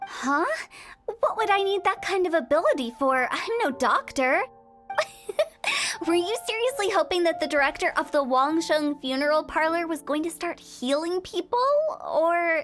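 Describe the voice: A woman speaks in a put-on character voice at an extremely high pitch, with a fairly bright tone, lively intonation and a fairly slow pace over faint music in the background.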